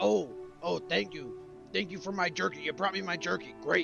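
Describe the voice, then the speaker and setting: Clear music plays behind a man doing a put-on character voice. He keeps a moderate pace and a medium pitch. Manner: bad, exaggerated impression.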